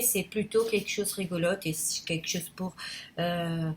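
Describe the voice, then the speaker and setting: A woman with a Portuguese accent, somewhat breathy, with ordinary pitch variation. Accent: non-native French accent, Portuguese. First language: Portuguese (speaking French). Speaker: YouTuber. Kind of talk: casual vlog monologue. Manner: halting, many hesitations; spontaneous, unedited.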